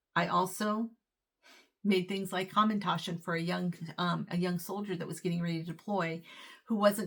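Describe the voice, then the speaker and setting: Woman's fairly low voice with vocal fry, fairly even intonation, and a moderate pace. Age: 60s. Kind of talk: casual talk to camera.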